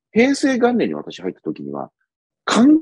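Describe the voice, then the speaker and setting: A man is heard in a dry sound with no echo against a quiet background. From Japan. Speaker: policy commentator, former bureaucrat; political commentator. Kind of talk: solo commentary monologue. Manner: conversational with many fillers. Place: home room. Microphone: earbuds.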